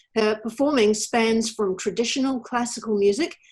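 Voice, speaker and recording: A plain, everyday voice at a moderate pace, with ordinary pitch variation. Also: woman. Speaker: interviewer, show host. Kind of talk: interview questions and introduction.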